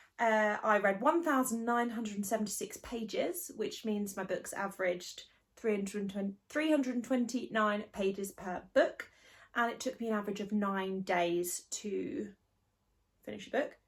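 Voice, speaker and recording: The pace is moderate and the pitch varies in an ordinary way, with a somewhat breathy voice. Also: woman, fairly high pitch for a woman. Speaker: book vlogger. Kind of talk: casual chat. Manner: chatty, rambling. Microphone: no microphone.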